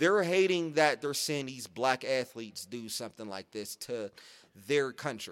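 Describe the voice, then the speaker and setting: A man with a normal speaking voice and an American accent, lively in intonation, at a moderate pace. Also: medium pitch for a man, big swings in loudness, very clean recording, silent background. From Pittsburgh, Pennsylvania. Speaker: podcast co-host. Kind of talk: casual chat.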